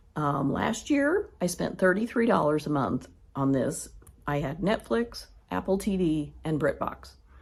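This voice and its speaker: A woman with an American accent speaks at a fairly slow pace, somewhat breathy, her intonation lively. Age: 60s. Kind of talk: casual budget vlog. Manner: conversational with filler ums.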